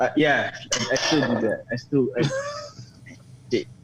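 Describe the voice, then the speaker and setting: There is noticeable background noise behind this man. He talks with an American accent and ordinary pitch variation. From Philippines. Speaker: home cook guest. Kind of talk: casual chat. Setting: live stream show. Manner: animated.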